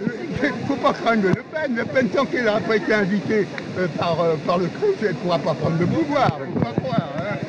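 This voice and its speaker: A man speaks in a high voice with lively intonation over noticeable background noise. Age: 80s+. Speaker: veteran activist. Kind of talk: street argument. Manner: animated; halting.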